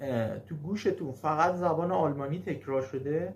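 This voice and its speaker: A man talks at a very slow pace with a fairly high pitch. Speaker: German language teacher. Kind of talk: casual video talk. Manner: halting, frequent fillers.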